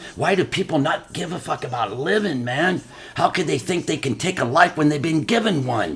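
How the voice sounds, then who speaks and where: A man talks at a moderate pace with very wide pitch swings. Noticeable background noise runs underneath. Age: 60s. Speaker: guest sharing life story. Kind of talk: casual chat. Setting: at home. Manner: animated.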